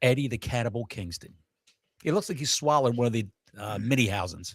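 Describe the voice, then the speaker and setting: On a very clean recording with a silent background, a man talks at a very fast pace in a somewhat breathy, animated tone at a medium pitch. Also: ordinary pitch variation. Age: 60s. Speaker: wrestling podcast co-host. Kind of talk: casual chat.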